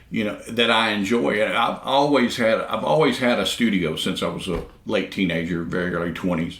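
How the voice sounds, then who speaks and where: In a room with audible echo, a man talks at a fairly quick pace with lively intonation and hardly any pauses. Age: 60s. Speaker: session drummer. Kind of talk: casual interview chat. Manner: halting, many repeated words.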